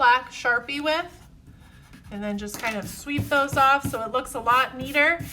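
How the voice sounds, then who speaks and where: Raising and projecting her high-pitched voice, a woman speaks at a moderate pace with fairly even intonation. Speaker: art teacher. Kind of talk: tutorial. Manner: friendly, encouraging.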